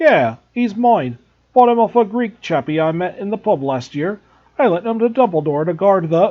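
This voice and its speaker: Using a gruff, put-on character voice, a man speaks at a moderate pace with a high pitch and very wide pitch swings. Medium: read story.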